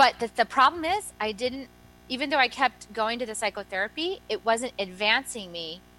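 With music in the background, a woman speaks in an animated tone with ordinary pitch variation. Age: 40s. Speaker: energy medicine practitioner and author. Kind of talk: interview.

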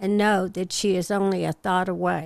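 On a very clean recording with a silent background, a woman speaks at a medium pitch in a plain, everyday voice. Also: dry, close sound with no echo. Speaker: advice columnist. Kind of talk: reading aloud.

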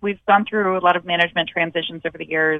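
A woman with a Michigan accent. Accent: Midwestern American (Michigan). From Michigan, outside Detroit. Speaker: TV music show host. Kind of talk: interview.

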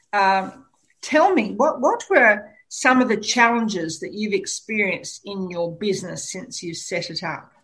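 A woman with an Australian accent talks at a fairly slow pace in a fairly high voice. Her intonation is lively, and her loudness swings widely. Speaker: radio host. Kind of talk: radio interview. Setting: studio.

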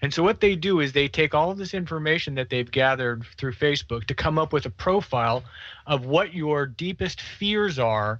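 Here a man speaks at a moderate pace with a fairly high pitch and lively intonation. He has a normal speaking voice. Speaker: political commentator. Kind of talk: interview.

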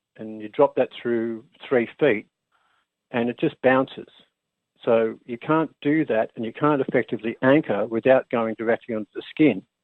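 A man with an Australian accent speaks at a medium pitch and a moderate pace. His intonation is fairly even, but his loudness swings widely. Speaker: engineer and inventor, former basketball player. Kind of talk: radio interview.

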